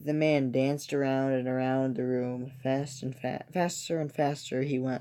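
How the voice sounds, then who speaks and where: The voice is quiet and moves at a fairly slow pace. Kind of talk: reading scary stories aloud from a book. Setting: indoors at home, kept quiet so a toddler can sleep. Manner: quiet, subdued reading.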